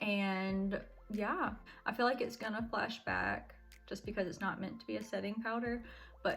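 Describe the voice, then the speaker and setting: Music plays in the background as a woman speaks at a fairly slow pace. Her fairly high voice shows ordinary pitch variation. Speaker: beauty vlogger. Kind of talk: makeup tutorial. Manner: casual, chatty.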